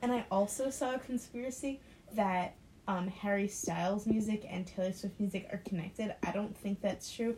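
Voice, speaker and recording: Pitched at a medium level, a woman talks at a moderate pace with ordinary pitch variation. Noticeable background noise runs underneath. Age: 19. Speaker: nursing student. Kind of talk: casual chat.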